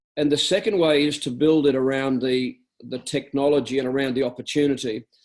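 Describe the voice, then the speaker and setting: In an Australian accent, the speaker talks at a fairly quick pace. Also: man, fairly high pitch for a man. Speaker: network marketing business leader. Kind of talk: business training talk on a conference call.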